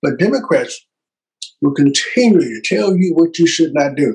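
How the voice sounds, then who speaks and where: A man in an animated tone. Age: 70s. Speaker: political talk show host. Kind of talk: political commentary monologue.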